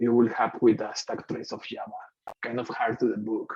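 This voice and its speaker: A voice with a Mexican accent over music in the background. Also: man. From Mexico. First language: Spanish. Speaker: software engineer. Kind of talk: tech meetup talk with live coding. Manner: hesitant, with many fillers.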